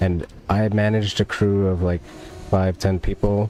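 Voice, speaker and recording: Someone with an American accent talks at a fairly slow pace over noticeable background noise. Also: man. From US, New Jersey. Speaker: gaming streamer. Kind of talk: casual chat. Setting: live stream.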